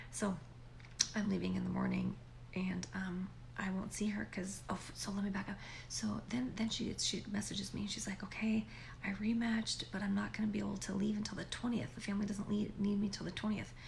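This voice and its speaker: The speech moves at a fairly quick pace amid noticeable background noise and audible room echo. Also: woman. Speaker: vlogger. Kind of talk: casual chat. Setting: home at night, upstairs guest bedroom. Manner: conversational, animated.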